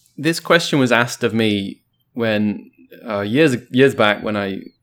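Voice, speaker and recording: Against a silent background on a very clean recording, a man with an English accent speaks at a fairly low pitch with ordinary pitch variation. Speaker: podcast guest. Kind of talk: casual chat.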